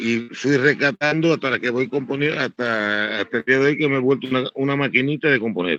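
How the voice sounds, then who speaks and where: The tone is bright and sharp, with ordinary pitch variation, a fairly quick pace, and hardly any pauses. The sound is dry and close, with no echo. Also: man, medium pitch for a man. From eastern Cuba. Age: 60s. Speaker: musician and composer. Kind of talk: interview. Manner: halting.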